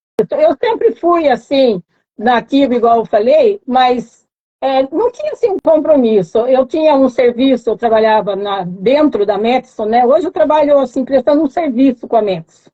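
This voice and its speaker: A woman's high voice at a moderate pace. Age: 60s. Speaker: mentoring program participant. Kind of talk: live stream interview. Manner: halting.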